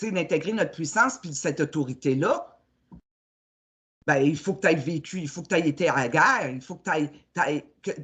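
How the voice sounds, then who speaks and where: Her voice is very deep and low for a woman, with lively intonation and big swings in loudness. This woman leaves long, frequent pauses. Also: moderate pace. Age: 60s. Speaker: spiritual coach. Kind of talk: casual chat. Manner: halting.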